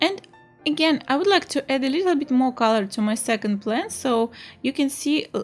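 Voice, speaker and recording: With lively intonation and a Russian accent, a woman speaks on a very clean recording with a silent background. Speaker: art teacher. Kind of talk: tutorial. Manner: halting, many fillers.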